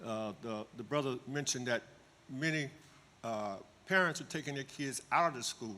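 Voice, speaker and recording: Long, frequent pauses break up this man's speech at a moderate pace. His medium-pitched voice has a bright, sharp tone and ordinary pitch variation. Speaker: school alumnus asking a question. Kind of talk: question at community meeting.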